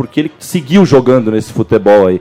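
The voice carries a dark, mellow tone. Its pitch swings very widely. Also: man. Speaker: football podcast co-host. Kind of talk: casual chat.

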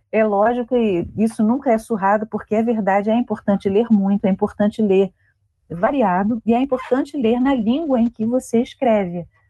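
Somewhat breathy, the voice keeps a moderate pace and ordinary pitch variation. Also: woman, fairly high pitch for a woman. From Brazil, Rio de Janeiro. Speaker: author and librarian. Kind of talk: interview.

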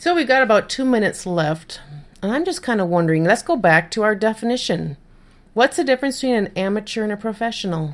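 Speaking very fast with an American accent, a woman uses a fairly high pitch and very wide pitch swings on a very clean recording with a silent background. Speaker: podcast host and freelance writer. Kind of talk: casual interview chat. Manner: laughs often, chatty.

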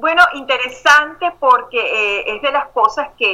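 Lively intonation in a woman's high voice. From Venezuela. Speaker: life and emotional intelligence coach. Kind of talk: interview.

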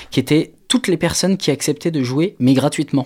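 Very clean recording with a silent background, carrying the dark, mellow tone of a male speaker. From Maine-et-Loire, western France. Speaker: concert organiser. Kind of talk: radio interview.

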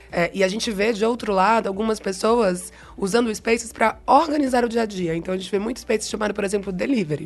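Against noticeable background noise, a woman with a Bahian accent talks at a very fast pace with hardly any pauses. Her pitch is fairly high. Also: ordinary pitch variation. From Bahia, Brazil. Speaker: marketing head. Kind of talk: interview conversation.

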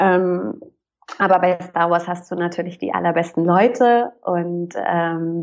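A woman speaks at a very slow pace. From northern Germany, Hamburg. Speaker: actress and voice actor. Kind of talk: casual interview chat.

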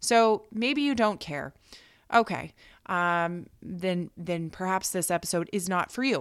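An ordinary speaking voice with an American accent moves at a fairly slow pace with lively intonation, captured in a very clean recording with a silent background. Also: woman, medium pitch for a woman. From United States. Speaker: fitness and nutrition coach, podcast host. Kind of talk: solo podcast talk.

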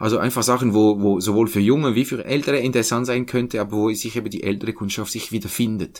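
With hardly any pauses, a man at medium pitch speaks very fast with fairly even intonation. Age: 40s. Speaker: think tank research head. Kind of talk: interview. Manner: halting.

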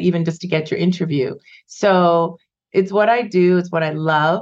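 A woman's fairly low voice with a Canadian accent, fairly even intonation and a plain, everyday voice. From Canada, Vancouver. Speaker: immigration lawyer. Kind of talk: interview.

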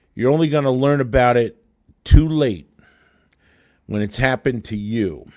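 Against a quiet background, a man speaks at medium pitch with ordinary pitch variation. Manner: urgent, emphatic, indignant, warning tone.

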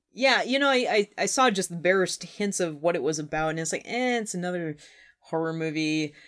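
With a slight Minnesotan accent, a woman speaks at a fairly quick pace with a fairly low pitch and lively intonation. Her recording is very clean, with a silent background. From Minnesota, Twin Cities, US. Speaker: podcast host. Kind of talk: casual chat over wine. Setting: basement, in person with co-host.

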